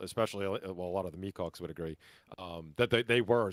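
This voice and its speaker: A man's very deep, low voice with a New York accent, very fast and fairly even in intonation, in a dry, close, very clean recording with a silent background and no echo. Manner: hesitant, many fillers and restarts.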